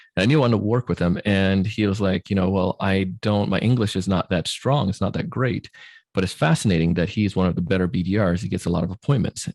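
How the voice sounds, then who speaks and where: Speaking at a very fast pace, a man with a fairly low pitch and ordinary pitch variation comes through in a very clean recording with a silent background and a dry, close sound with no echo. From Jamaica. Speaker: sales trainer and podcast host. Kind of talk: podcast interview. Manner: hesitant, many fillers.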